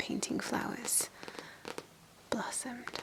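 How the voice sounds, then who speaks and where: A woman whispering, with noticeable background noise. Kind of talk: ASMR soft-spoken scrapbook show-and-tell. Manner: soft-spoken, whispery.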